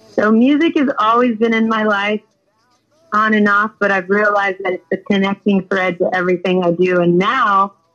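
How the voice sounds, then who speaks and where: With an American accent, a woman speaks at a moderate pace and medium pitch. Her intonation is fairly even, and music plays in the background. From US West Coast: San Fernando Valley, Southern California. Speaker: singer-songwriter. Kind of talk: interview. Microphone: audio delay on her connection.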